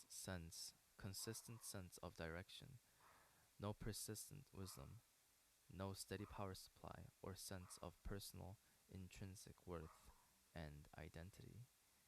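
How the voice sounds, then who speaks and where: This man's pitch is very deep and low. It varies in an ordinary way. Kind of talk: book reading. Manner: halting, hesitant reading with stumbles and repeats.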